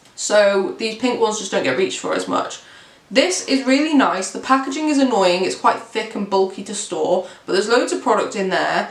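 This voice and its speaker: With an English accent, a woman speaks at a fairly high pitch with very wide pitch swings, amid noticeable background noise and audible room echo. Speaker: beauty youtuber. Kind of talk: product review. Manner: fast.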